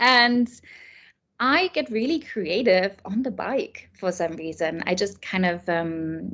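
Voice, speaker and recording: A woman talks with a German accent and ordinary pitch variation. The background is quiet. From Germany. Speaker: children's author and illustrator. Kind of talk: interview.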